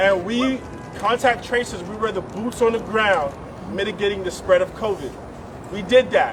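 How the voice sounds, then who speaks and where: Music plays in the background as a man with a New York accent speaks at a high pitch and moderate pace with ordinary pitch variation. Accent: American (New York). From West Africa, raised in US from age six (New York). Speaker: immigrant advocate. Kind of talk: rally speech.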